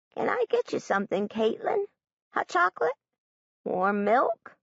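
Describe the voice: A woman uses a put-on character voice that is raspy and shaky, pitched fairly high. She talks at a moderate pace with very even loudness.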